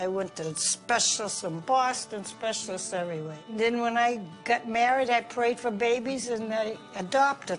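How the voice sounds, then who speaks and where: A woman with an American accent talks at a moderate pace, her pitch fairly high and its variation ordinary. She hardly pauses, and music plays in the background. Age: old. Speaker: grandmother. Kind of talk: interview answer.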